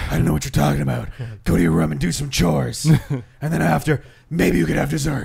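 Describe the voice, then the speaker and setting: In a put-on character voice, a man talks very fast with a very deep, low pitch. The tone is serious, and the sound is gruff and raspy. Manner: gruff, mock-serious.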